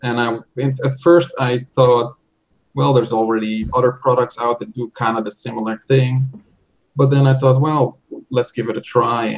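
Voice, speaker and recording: In a Dutch accent, a man speaks at medium pitch and a moderate pace. His intonation stays fairly even, with long, frequent pauses. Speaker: software developer. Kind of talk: interview. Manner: halting.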